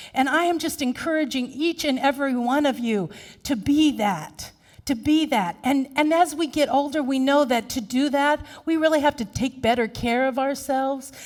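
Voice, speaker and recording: Her high voice sounds animated at a moderate pace. The woman is heard on a very clean recording with a silent background. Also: ordinary pitch variation. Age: 50s. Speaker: minister. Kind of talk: sermon.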